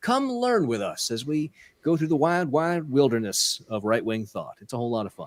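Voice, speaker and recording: Recorded very cleanly against a silent background, a man talks at a moderate pace with very wide pitch swings. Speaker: podcast host. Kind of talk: casual chat. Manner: sarcastic-sounding delivery.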